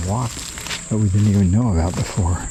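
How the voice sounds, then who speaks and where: Noticeable background noise sits behind a man's voice. His pitch is fairly low and his intonation fairly even. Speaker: retiree. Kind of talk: casual talk to camera. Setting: outdoors. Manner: reflective.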